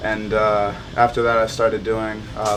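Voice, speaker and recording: Amid noticeable background noise and audible room echo, a man speaks in a fairly low, monotone, flat voice at a moderate pace. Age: 20s. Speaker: MMA fighter. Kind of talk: documentary interview. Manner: halting, many fillers.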